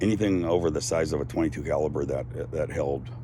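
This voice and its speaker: Audible room echo surrounds a man who speaks at a moderate pace in a very deep, low pitch. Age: 60s. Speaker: activist vlogger. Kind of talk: casual monologue. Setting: outdoors on a deck.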